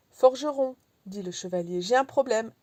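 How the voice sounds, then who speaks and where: A woman's dark, mellow voice at a fairly slow pace with ordinary pitch variation. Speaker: audiobook reader. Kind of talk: audiobook reading of a philosophical tale.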